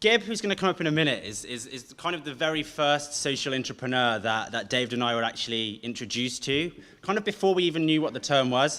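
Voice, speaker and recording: A man talks at a very fast pace with hardly any pauses, his fairly high voice rising and falling in lively intonation. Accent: slight Brummie. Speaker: event host. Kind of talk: event introduction.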